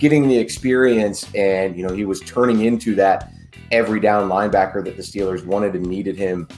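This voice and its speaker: With faint music in the background, a man speaks fairly quickly at a fairly low pitch, varying it in an ordinary way. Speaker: sports podcast co-host. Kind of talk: podcast commentary. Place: home room.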